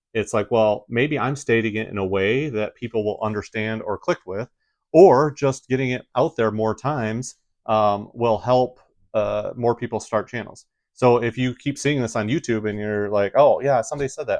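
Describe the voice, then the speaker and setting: With a Midwestern accent, a man speaks at a medium pitch and fairly quick pace with ordinary pitch variation, in a dry, close sound with no echo over a quiet background. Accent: Midwest American. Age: 40s. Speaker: YouTuber. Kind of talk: casual vlog talk.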